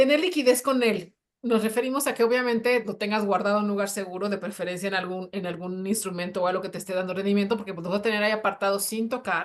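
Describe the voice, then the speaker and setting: Speaking very fast with hardly any pauses, a woman uses an animated tone at a medium pitch. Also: ordinary pitch variation. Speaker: personal finance show co-host. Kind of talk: live panel discussion.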